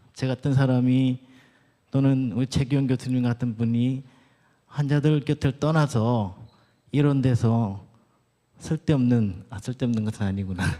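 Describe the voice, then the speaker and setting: With a Gyeongsang accent, a man speaks at a fairly slow pace and medium pitch in a dark, mellow tone, with ordinary pitch variation and long, frequent pauses, on a very clean recording with a silent background. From Gyeongsang region, Korea. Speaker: doctor and church elder giving a lecture. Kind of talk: lecture. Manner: halting.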